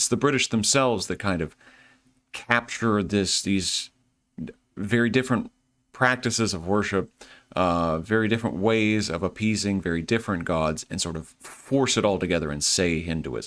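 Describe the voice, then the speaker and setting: Over music in the background, a man with a Southern US accent talks at a moderate pace, his fairly low pitch showing ordinary variation. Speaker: history lecturer. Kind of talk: lecture. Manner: casual, conversational.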